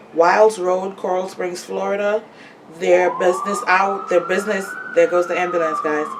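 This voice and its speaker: Noticeable background noise sits under a voice with an American accent and monotone, flat intonation. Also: woman. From Trinidad. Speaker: podcaster promoting businesses. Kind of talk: casual vlog monologue. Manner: casual, repetitive with self-corrections.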